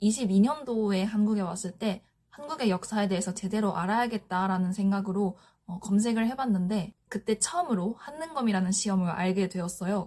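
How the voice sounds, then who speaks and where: Her pitch is medium for a woman. The intonation is lively. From Japan. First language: Japanese (speaking Korean). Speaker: office worker sharing study tips. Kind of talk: vlog-style explanation. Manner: slow; hesitant with frequent fillers.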